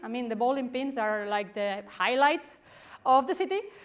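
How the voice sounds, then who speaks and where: With a Spanish accent, a woman speaks in a high voice. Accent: Spanish accent, stronger when nervous. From Spain. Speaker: professor. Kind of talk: conference talk. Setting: stage with audience.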